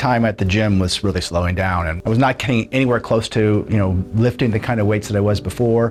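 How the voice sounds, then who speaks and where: Music plays in the background while a man speaks very fast. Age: 60s. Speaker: patient giving a testimonial. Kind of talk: testimony. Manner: casual, with many fillers.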